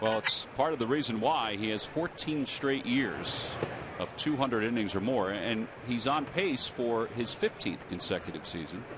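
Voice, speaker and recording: A man talks at a medium pitch. Noticeable background noise is present. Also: ordinary pitch variation, moderate pace. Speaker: play-by-play announcer. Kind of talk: live commentary.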